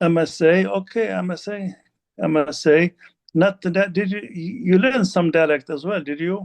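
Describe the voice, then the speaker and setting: Fairly slow and high-pitched, the man talks with ordinary pitch variation. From Lebanon. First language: Arabic. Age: 60s. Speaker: Arabic teacher. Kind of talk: interview. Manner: halting.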